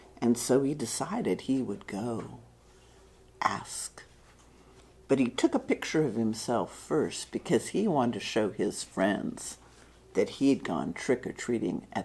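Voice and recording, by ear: A woman whispers at a slow pace.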